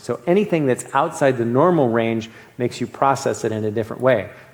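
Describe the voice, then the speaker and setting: Noticeable background noise sits behind a man with an American accent. His voice is medium in pitch with ordinary pitch variation. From US East. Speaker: medical board exam lecturer. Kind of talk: lecture. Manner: fast; halting.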